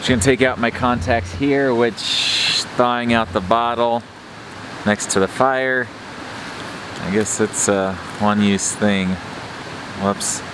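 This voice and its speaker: Speaking at a very slow pace with long, frequent pauses, a man keeps a relaxed tone over noticeable background noise. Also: medium pitch for a man. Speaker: outdoor vlogger. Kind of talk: casual vlog talk to camera. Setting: outdoors by a campfire in winter. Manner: relaxed, hesitant with fillers.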